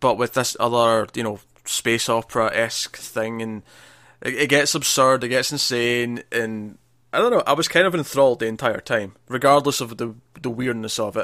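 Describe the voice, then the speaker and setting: A man's bright, sharp voice at medium pitch, fairly even in intonation, on a very clean recording with a silent background. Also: moderate pace. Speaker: film podcast host. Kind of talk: casual chat.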